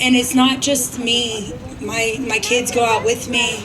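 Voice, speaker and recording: A loud woman's voice, high in pitch, monotone and flat, at a very slow pace, with audible room echo and noticeable background noise. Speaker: recovering addict. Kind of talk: testimony.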